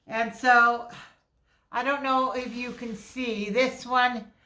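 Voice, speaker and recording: A woman speaks loudly and very slowly in a high, bright, sharp voice with flat, monotone intonation. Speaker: crafter. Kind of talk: crafting tutorial. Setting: living room at home. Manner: halting.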